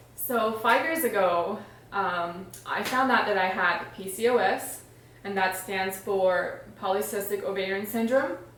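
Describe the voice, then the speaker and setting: In a room with audible echo and noticeable background noise, a woman speaks at a fairly slow pace with a medium pitch and ordinary pitch variation. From Iran. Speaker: stay-at-home mom and health vlogger. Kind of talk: casual vlog introduction. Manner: conversational with filler words.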